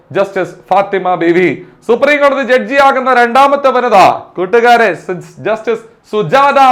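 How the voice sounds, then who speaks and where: A man's pitch varies in an ordinary way as he speaks over noticeable background noise. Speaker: exam coaching teacher. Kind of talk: lecture. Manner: repetitive, emphatic drilling.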